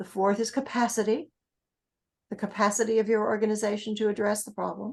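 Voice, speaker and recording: Speaking fairly quickly, a woman with a New England accent uses a fairly high pitch and monotone, flat intonation. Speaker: grant writing trainer. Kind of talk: training workshop.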